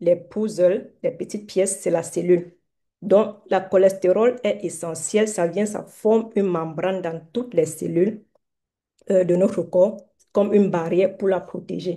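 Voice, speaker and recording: Speaking at a fairly slow pace, a woman uses a medium pitch and a dark, mellow tone. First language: not French (mother tongue other) (speaking French). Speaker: doctor giving a health talk. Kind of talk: online lecture / live health talk. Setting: Zoom livestream, also on TikTok. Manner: halting, many hesitations.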